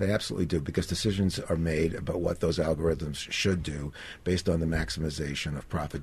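Speaking at a very fast pace, a man sounds somewhat breathy. His intonation is fairly even, and the background is quiet. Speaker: digital privacy advocate. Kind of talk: radio interview.

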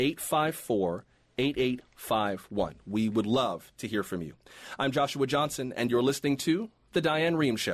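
Against a quiet background, a man at medium pitch talks at a fairly slow pace with very wide pitch swings. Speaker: guest radio host. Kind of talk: radio news roundup discussion. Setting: studio.

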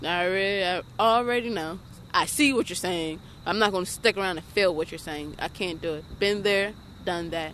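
A woman talks at a moderate pace and medium pitch with ordinary pitch variation. She has a plain, everyday voice, and the background is quiet. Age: 20s. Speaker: homeless young mother. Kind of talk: interview. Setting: outdoors.

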